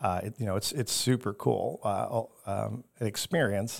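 Fairly even intonation marks a normal speaking voice on a very clean recording with a silent background. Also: man. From Chicago, southwest side. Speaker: aquarium chief executive. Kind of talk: interview.

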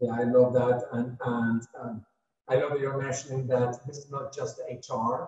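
The voice stays monotone and flat in intonation while moving at a fairly slow pace, with big swings in loudness. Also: man, medium pitch for a man. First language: not English. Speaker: podcast host. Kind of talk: interview. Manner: halting.

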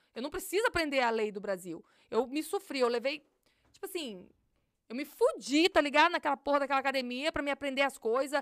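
A woman speaks at a fairly quick pace in a high pitch with lively intonation. The recording is very clean with a silent background and a dry, close sound with no echo. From Brazil, Minas Gerais (Galileia). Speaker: police officer. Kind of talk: casual interview.

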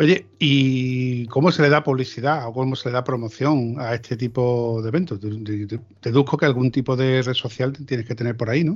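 Speaking at a moderate pace, a man uses a medium pitch and fairly even intonation. He barely pauses at all. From Andalusia, Seville province. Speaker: motorcycle podcast host. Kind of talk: casual chat. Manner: halting.

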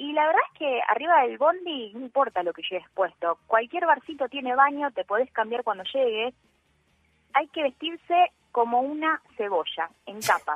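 With music in the background, a woman at a high pitch speaks at a moderate pace, using very wide pitch swings and big swings in loudness. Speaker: radio columnist. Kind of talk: radio talk segment.

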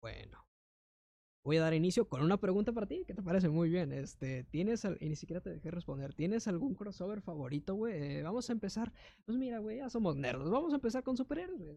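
The pace is fairly quick. The background is quiet. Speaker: podcast co-host. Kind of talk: casual chat. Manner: animated.

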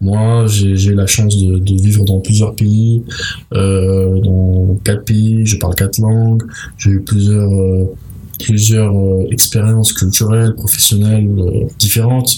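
A man speaks very slowly at a fairly low pitch, his voice somewhat breathy. His intonation is monotone and flat, and his loudness stays very even. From mixed: Tunisia, Malta, United States. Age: 20s. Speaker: master's student. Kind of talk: interview. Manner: halting, many fillers.

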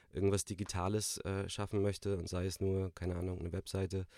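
A man speaks very fast in a very deep, low voice with a dark, mellow tone. His intonation is flat and monotone, and the recording is very clean with a silent background. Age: 30s. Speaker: coworking space manager and startup juror. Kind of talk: interview. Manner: halting, many fillers.

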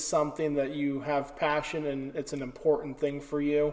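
A man's fairly high voice moves at a moderate pace as noticeable background noise runs underneath. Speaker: podcast host. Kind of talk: interview. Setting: old church with echo.

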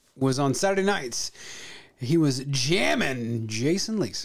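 A fairly high-pitched man with an American accent in a very clean recording against a silent background. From Missouri, US Midwest. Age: 40s. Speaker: podcast co-host, military veteran. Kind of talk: casual chat.

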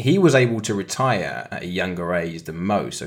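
A man speaks with a very deep, low pitch, lively intonation and vocal fry. The recording is very clean, with a silent background. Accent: British. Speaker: co-host, trader and ex-footballer. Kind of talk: casual podcast chat about investing. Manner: animated, enthusiastic.

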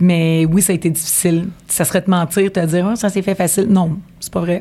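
A woman's tone is dark and mellow, with a fairly low pitch. She keeps a moderate pace and fairly even intonation. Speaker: mortgage broker. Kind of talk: interview.

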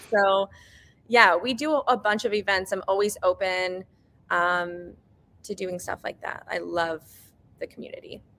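A woman with a bright, sharp tone and a medium pitch speaks with long, frequent pauses. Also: ordinary pitch variation, fairly slow pace. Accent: American. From US, Iranian American family. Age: 20s. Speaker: cafe owner. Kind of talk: casual interview. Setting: video call.

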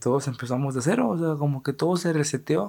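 This man has a fairly high pitch and a Mexican accent. The recording is very clean, with a silent background. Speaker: podcast host. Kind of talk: casual monologue. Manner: animated.

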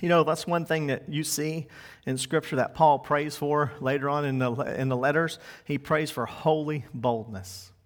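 At a moderate pace, a normal speaking voice moves with ordinary pitch variation. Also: man, fairly high pitch for a man. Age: 40s. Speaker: pastor. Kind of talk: sermon.

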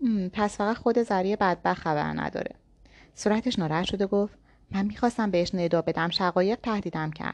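The text is read aloud in a natural voice, and the pitch varies in an ordinary way.

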